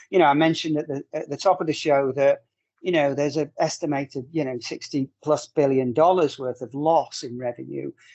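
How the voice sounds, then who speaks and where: Speaking with a Northern English accent, a man uses a fairly high pitch and fairly even intonation at a fairly quick pace. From northern England. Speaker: corporate trainer and webinar host. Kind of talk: panel discussion in an online webinar.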